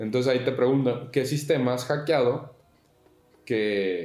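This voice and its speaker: His voice lands at a medium pitch. This man's pitch shifts an ordinary amount. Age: 20s. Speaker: podcaster. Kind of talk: casual chat.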